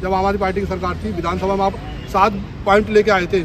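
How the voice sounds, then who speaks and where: There is noticeable background noise. A man talks with fairly even intonation. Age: 40s. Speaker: protester, former bus marshal. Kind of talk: protest statement to camera.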